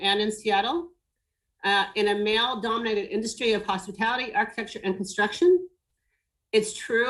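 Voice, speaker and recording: An unremarkable speaking voice, a woman's, fairly high-pitched and fairly quick. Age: 60s. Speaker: business owner in design and hospitality. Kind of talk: webinar panel discussion.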